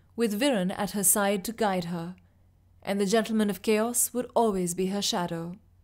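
A natural voice reading text aloud

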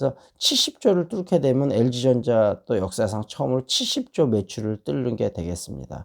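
With vocal fry and medium pitch, a man talks at a fairly slow pace with hardly any pauses and very wide pitch swings, the sound dry and close with no echo. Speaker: stock market and English education YouTuber. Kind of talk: monologue on stock outlook and book reading. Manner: casual with many fillers.

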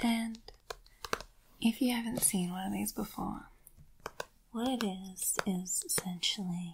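Against noticeable background noise, a soft-spoken woman at medium pitch talks at a fairly slow pace with ordinary pitch variation and long, frequent pauses. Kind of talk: soft-spoken ASMR chat. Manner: soft-spoken, rambling.

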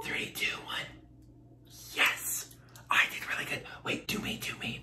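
Playful whispering at a fairly slow pace. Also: man. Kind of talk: casual talk to camera. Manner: playful, chatty. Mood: playful, joking. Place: home room.

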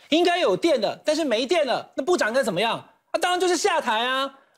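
A man rattles along at a very fast pace against a quiet background. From Taiwan. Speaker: political commentator. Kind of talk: TV panel debate. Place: studio. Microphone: lapel.

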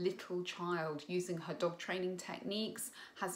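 Her pitch is fairly low for a woman. She speaks at a fairly slow pace. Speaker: parent coach. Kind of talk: opinion commentary. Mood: critical, earnest. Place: home room. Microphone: phone near.

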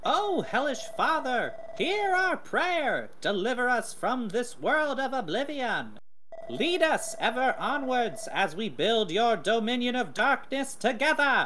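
Clear background noise runs under a put-on character voice. It moves at a fairly slow pace with fairly high pitch. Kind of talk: sermon, grand theatrical oration. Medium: machinima. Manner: fervent, solemn.

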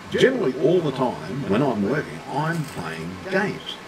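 Very wide pitch swings from a man, with noticeable background noise. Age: old. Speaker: gaming streamer. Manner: slow, deliberate talker.

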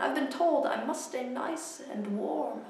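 Audible room echo surrounds a woman speaking at a very slow pace. Her tone is theatrical and playful. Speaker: poet. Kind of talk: poetry performance, spoken word poem. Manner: rhythmic, theatrical, playful. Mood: weary, mock-sombre. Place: home room. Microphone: camera far.

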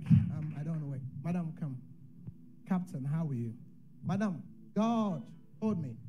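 A man talks at a moderate pace in a high pitch, with a dark, mellow tone and lively intonation. He leaves long, frequent pauses, and noticeable background noise is present. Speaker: prophet. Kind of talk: prophecy delivery. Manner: prophetic, declarative, urgent; rhythmic, repetitive ('What can stop it?'). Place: church. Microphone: handheld.

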